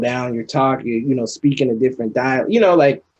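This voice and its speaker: This man has a normal speaking voice at a medium pitch. His intonation is fairly even. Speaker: artist. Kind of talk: podcast interview.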